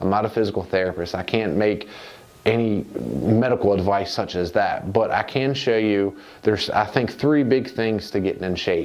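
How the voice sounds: A man with a fairly low pitch and slightly mellow tone talks at a moderate pace with ordinary pitch variation and few pauses, and room echo is audible.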